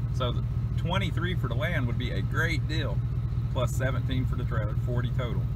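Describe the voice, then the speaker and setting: The speech moves at a fairly slow pace, with a dry sound and no echo, over loud background noise. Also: man. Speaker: vlogger filming property. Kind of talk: casual vlog chat. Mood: relaxed, musing, some laughs. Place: open country. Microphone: phone near.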